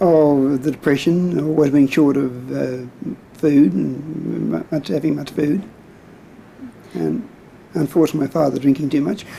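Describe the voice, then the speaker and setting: With an Australian accent, a man talks at a moderate pace in a fairly high pitch, showing ordinary pitch variation and long, frequent pauses. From Sydney, Australia. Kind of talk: oral history interview answer. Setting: home video recording, degraded tape.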